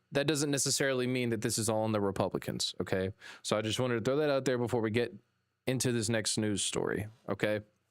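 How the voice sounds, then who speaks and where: A Southern US accent at a very fast pace with ordinary pitch variation, on a very clean recording with a silent background. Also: man. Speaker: political news podcast host. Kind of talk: live news commentary. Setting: live stream.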